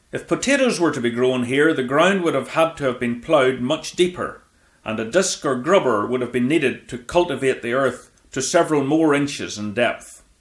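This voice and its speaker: A man's unremarkable speaking voice, fairly high in pitch, with ordinary pitch variation and a moderate pace. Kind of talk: vintage farming documentary narration. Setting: voiceover. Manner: measured, even, formal, informative.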